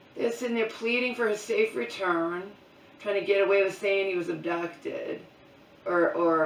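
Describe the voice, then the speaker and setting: Speech with ordinary pitch variation comes through noticeable background noise and audible room echo. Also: woman. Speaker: vlogger. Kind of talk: casual vlog monologue. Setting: at home, in mom's bedroom. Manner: loud.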